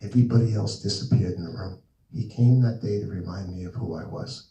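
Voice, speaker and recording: A man's somewhat breathy voice with an American accent and a dark, mellow tone. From New Jersey. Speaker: author and speaker. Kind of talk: talk with audience Q&A. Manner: animated.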